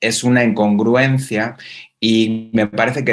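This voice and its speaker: Speaking at a very slow pace, a man with a Spanish accent keeps a medium pitch and a monotone, flat intonation. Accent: Spanish (Spain). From Spain. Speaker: university researcher. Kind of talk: conference talk. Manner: halting, many fillers.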